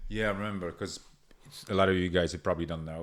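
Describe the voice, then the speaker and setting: In a Polish accent, a man with a very deep, low pitch speaks in a monotone, flat intonation. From Poland. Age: 30s. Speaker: podcast host. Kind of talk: casual chat.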